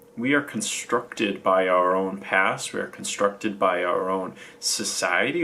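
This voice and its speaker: A man talks at a fairly slow pace. Noticeable noise sits in the background. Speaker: self-development vlogger. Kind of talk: stream-of-consciousness monologue. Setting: recording alone to camera. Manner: halting, with false starts; animated.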